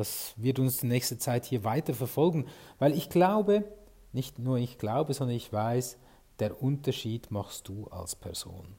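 A man's dark, mellow, somewhat breathy voice of medium pitch, with lively intonation at a fairly slow pace. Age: 40s. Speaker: podcast host and sales consultant. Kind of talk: solo podcast monologue.

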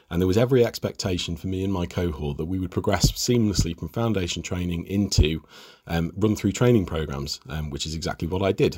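A man talks very fast in a very deep, low voice that is somewhat breathy, with ordinary pitch variation. The recording is very clean, with a silent background. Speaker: specialty doctor, anaesthetist. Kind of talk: podcast panel discussion.

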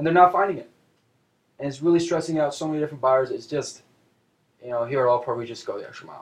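A man talks very fast with an American accent, somewhat breathy, with ordinary pitch variation. His loudness swings widely, and he takes long, frequent pauses. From Seattle, US Pacific Northwest. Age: 20s. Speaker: real estate agent. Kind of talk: casual chat.

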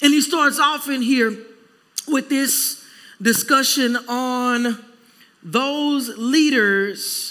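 This man's voice sits at an extremely high pitch and is raised and projected. He talks at a very slow pace with ordinary pitch variation. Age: 40s. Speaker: pastor. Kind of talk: sermon.

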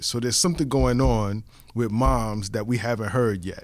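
A medium-pitched man with a New York accent at a moderate pace. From the Bronx, New York. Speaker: podcast co-host. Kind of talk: casual chat. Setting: studio.

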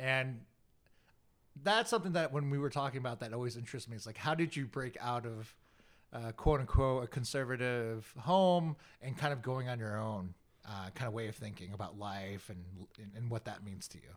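A man's plain, everyday voice at medium pitch, fairly quick, with ordinary pitch variation and big swings in loudness. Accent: General American. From US, Korean American.

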